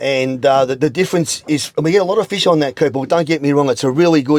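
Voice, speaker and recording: A man with an Australian accent speaks at a fairly high pitch with ordinary pitch variation. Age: 60s. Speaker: veteran angler. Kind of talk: instructional interview. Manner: halting, repetitive.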